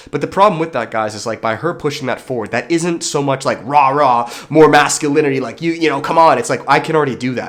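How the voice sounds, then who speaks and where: A man's fairly high voice at a very fast pace, hardly any pauses, ordinary pitch variation and noticeable background noise. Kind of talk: casual vlog monologue. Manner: rambling, filler-heavy. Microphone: echoey room.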